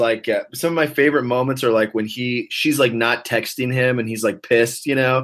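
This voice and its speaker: In an ordinary speaking voice, a man talks at medium pitch and a moderate pace. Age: 30s. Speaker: actor. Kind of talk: casual chat.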